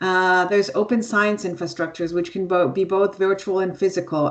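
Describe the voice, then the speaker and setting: At a fairly quick pace, a woman talks with a medium pitch and fairly even intonation. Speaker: seminar presenter. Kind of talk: online seminar presentation. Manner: fast.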